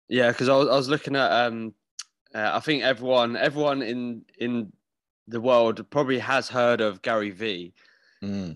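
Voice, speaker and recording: In a very clean recording with a silent background, a man with an unremarkable speaking voice talks at a moderate pace, medium in pitch, with ordinary pitch variation. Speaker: podcast host. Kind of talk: casual chat.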